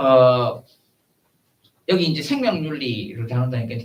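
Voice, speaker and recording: His voice is medium in pitch. The man speaks at a moderate pace. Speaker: professor. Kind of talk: lecture. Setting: seminar room with audience. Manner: halting, many fillers.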